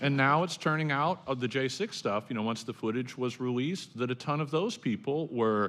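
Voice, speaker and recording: In an ordinary speaking voice, the speaker talks at a fairly quick pace with ordinary pitch variation. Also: man. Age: 50s. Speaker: professor. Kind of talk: panel discussion.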